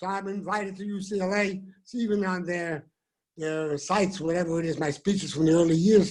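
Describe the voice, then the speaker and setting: A man with a Bronx accent talks at a moderate pace and a high pitch on a very clean recording with a silent background. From New York City (the Bronx). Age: 70s. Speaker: rabbi. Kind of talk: speech. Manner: animated.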